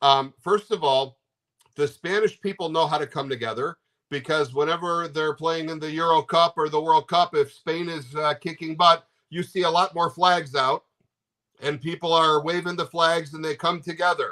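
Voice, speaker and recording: A loud voice with a bright, sharp tone and an American accent comes through dry and close, with no echo. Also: man, fairly high pitch for a man, moderate pace. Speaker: interview guest, American fan of Spain. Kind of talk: casual interview. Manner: animated.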